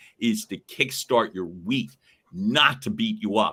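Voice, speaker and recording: At a fairly slow pace, a man with a bright, sharp tone swings his pitch very widely. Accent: Philadelphia. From Northeast Philadelphia. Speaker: podcast co-host. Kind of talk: casual chat.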